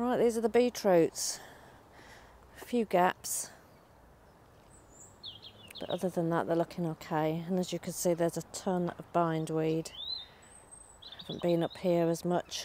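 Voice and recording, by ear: A woman speaks with a fairly low pitch and a dark, mellow tone. Her fairly slow delivery has fairly even intonation and long, frequent pauses.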